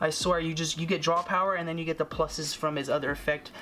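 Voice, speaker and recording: Amid noticeable background noise, a man with a fairly high pitch talks at a fairly quick pace in a monotone, flat intonation. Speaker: card game youtuber. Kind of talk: deck profile tutorial. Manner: stuttering, many fillers; casual, conversational.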